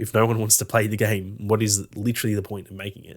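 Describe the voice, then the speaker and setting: In an Australian accent, a man with a fairly low pitch talks at a fairly quick pace with fairly even intonation on a very clean recording with a silent background. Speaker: gaming podcast co-host. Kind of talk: casual chat.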